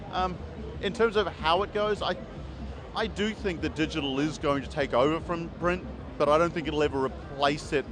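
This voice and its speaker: Music plays in the background and room echo is audible. A man with a New Zealand accent speaks at a fairly high pitch. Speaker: comic book publisher and writer. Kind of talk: interview. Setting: convention floor. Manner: hesitant, many fillers.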